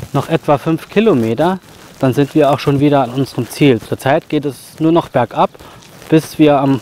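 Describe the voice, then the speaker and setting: The man talks at a moderate pace. The sound is dry with no echo, over light background noise. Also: ordinary pitch variation. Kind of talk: casual vlog chat. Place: forest. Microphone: phone near.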